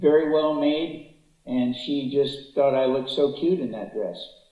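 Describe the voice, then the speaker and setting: A fairly high-pitched man with an American accent, at a fairly slow pace with ordinary pitch variation, in audible room echo. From US West Coast, Los Angeles. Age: 80s+. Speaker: public speaker, author. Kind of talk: testimony. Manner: hesitant, many fillers.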